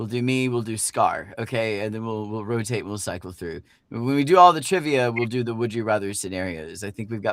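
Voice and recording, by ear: With ordinary pitch variation, someone is reading aloud in a natural voice.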